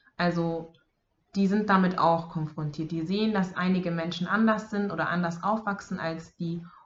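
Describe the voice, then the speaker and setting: A woman speaks with a fairly low pitch and a somewhat breathy sound. Her intonation stays fairly even. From Bavaria, Germany. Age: 20s. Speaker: social work student and daycare worker. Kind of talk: casual interview chat.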